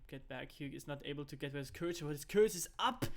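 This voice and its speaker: At a fairly quick pace, a man talks in a fairly high voice. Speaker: esports caster. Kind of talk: live commentary. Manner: fast; animated.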